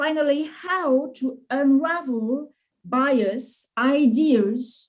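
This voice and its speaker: A woman speaks with a non-native accent at a high pitch. Her pace is very slow. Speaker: HR management professor. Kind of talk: academic presentation.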